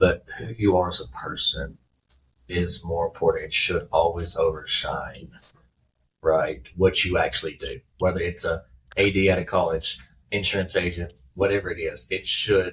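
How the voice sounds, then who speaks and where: At a moderate pace, a man talks with a strong Southern accent. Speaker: former baseball player, business owner. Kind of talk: podcast interview.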